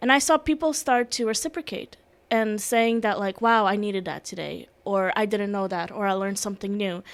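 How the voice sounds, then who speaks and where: A woman's medium-pitched voice with a non-native accent, ordinary pitch variation and a fairly quick pace, on a very clean recording with a silent background. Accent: foreign. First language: Russian. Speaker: security and emergency management specialist. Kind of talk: podcast interview.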